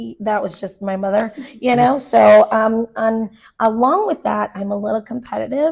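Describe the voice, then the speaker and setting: An ordinary speaking voice from a woman with an American accent, fairly high in pitch, with ordinary pitch variation and a moderate pace. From Arizona, Phoenix area. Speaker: choreographer and dance teacher. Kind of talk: casual interview chat.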